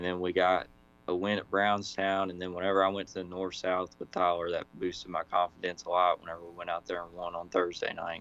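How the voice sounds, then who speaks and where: Big swings in loudness mark this man's very deep, low voice, delivered in a monotone, flat intonation with an American accent. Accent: own accent, said to talk slow. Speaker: modified race car driver. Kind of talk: casual interview.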